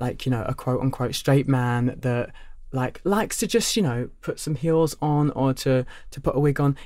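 With a Cockney accent, a man speaks at a fairly quick pace in a medium pitch, his tone dark and mellow and his pitch variation ordinary. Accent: Cockney London English. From London. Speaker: drag queen. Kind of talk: casual chat.

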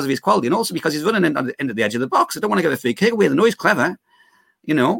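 A man with a Geordie accent speaks in an enthusiastic tone at a fairly high pitch, his voice making very wide pitch swings in a dry, close recording with no echo. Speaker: guest football fan. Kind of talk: casual chat.

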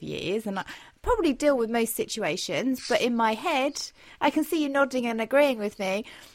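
With a British accent and some vocal fry, a woman talks at a fairly quick pace in a fairly high pitch. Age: 30s. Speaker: podcast host and leisure rider. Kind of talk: podcast interview.

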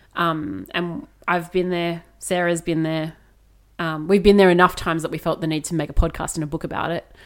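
This woman has an ordinary speaking voice, fairly low in pitch, with fairly even intonation. She talks at a fairly quick pace on a very clean recording with a silent background. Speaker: podcast co-host. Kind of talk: casual chat.

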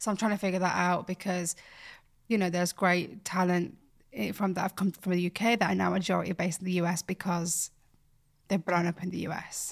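In a very clean recording with a silent background, a woman speaks at a fairly quick pace with fairly low pitch and fairly even intonation. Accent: Yorkshire. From Bradford, West Yorkshire, England. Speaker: fashion creative and presenter. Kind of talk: casual interview chat.

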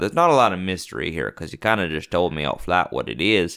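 A man with an American accent speaks at a very deep, low pitch, with vocal fry. His tone is bright and sharp. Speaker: podcast co-host. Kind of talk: casual banter. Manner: joking, frequent laughter.

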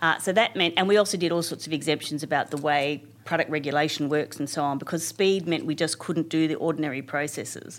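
Very deep and low in pitch, a woman speaks at a very fast pace with fairly even intonation and hardly any pauses. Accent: Australian. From Canberra, Australia. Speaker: senior public servant. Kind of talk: interview.

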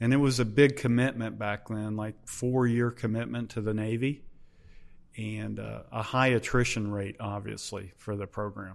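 Using a normal speaking voice, a man with an American accent and fairly low pitch talks at a moderate pace with fairly even intonation. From US Midwest, Hamilton, Ohio. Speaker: retired Navy SEAL, leadership coach. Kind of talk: interview.

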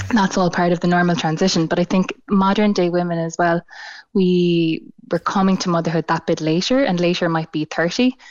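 This woman has an ordinary speaking voice, fairly low in pitch with ordinary variation and very even loudness. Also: fairly quick pace. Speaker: clinical psychologist. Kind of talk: radio interview.

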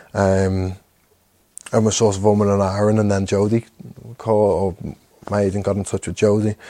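A man talks at a moderate pace with a Liverpool accent. His tone is dark and mellow, his intonation monotone and flat. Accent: Scouse. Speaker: professional footballer. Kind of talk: casual chat.

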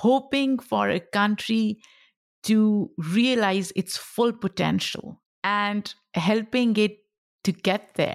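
In a Pashto accent, a woman at medium pitch talks at a very slow pace with ordinary pitch variation, the sound dry and close with no echo. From Pakistan. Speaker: podcast host and creator. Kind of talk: casual interview chat.

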